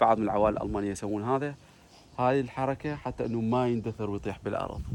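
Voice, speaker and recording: Here a man speaks with a southern Iraqi accent at medium pitch. His pace is fairly quick and his intonation fairly even. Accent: southern Iraqi Arabic (Basra). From Iraq, Basra. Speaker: vlogger. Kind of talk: casual vlog.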